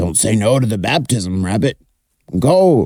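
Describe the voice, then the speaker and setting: Putting on a character voice, a man talks at a moderate pace with a medium pitch. His voice is raspy. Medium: read story. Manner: blunt, gruff.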